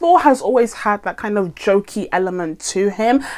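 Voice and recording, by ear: A woman talks at a moderate pace with lively intonation. Her tone is slightly mellow. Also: medium pitch for a woman.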